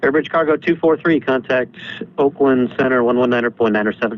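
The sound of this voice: At a fairly quick pace, a man talks in a medium pitch. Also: ordinary pitch variation.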